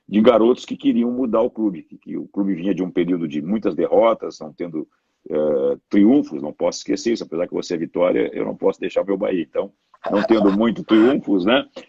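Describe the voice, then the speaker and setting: Loudness swings a lot as a man talks at a fairly quick pace. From southern Brazil, Porto Alegre. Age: 60s. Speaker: sports marketing specialist. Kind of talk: interview. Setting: live stream.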